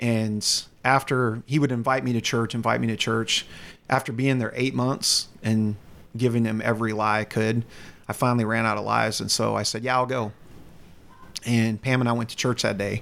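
With a slight Southern US accent, a man speaks at medium pitch and a moderate pace in a monotone, flat intonation on a very clean recording with a silent background. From US South, North Carolina. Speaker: youth ministry director. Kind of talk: interview.

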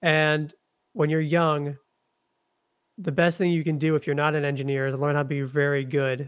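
A man speaks in an ordinary speaking voice, pitched fairly high for a man, with fairly even intonation. The background is quiet. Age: 20s. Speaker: investor and agency founder. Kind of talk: casual interview.

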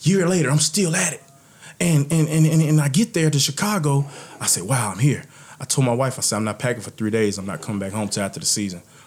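A man with a Texan accent talks at a very fast pace in a fairly high pitch, his voice swinging very widely in pitch. Noticeable background noise sits behind him. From Texas. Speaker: former football player.

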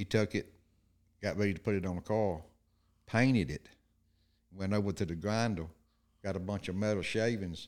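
A fairly low-pitched man with an Alabama accent at a moderate pace, fairly even intonation, long and frequent pauses, on a very clean recording with a silent background. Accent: rural Southern US (Alabama). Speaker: guest, co-host's father. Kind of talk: casual storytelling.

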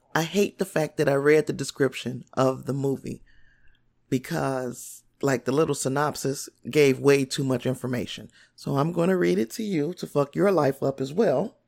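A woman speaks in a very deep, low voice with vocal fry, at a moderate pace. Her tone is animated and her intonation lively, on a very clean recording with a silent background. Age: 40s. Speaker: podcast host. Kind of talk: casual solo podcast monologue.

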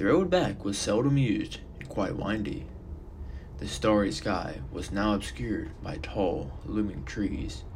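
A man talks at a fairly slow pace in a fairly low voice. His pitch swings very widely. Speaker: fiction podcast narrator. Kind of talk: horror narration, scripted storytelling. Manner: dramatic, voicing characters.

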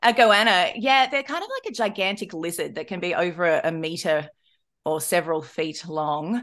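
Over a quiet background, a woman with an Australian accent talks at a moderate pace and medium pitch with lively intonation. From rural Australia. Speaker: podcast host. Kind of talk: casual chat.

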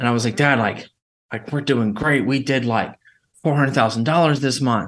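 Fairly even intonation and a moderate pace mark this man's medium-pitched voice. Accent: Alabama. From Alabama. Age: 30s. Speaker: entrepreneur. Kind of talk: casual chat.

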